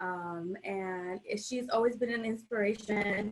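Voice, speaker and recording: With ordinary variation in her pitch, a woman delivers her words at a fairly slow speed. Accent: Spanish. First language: Spanish. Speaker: artist. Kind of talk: casual chat.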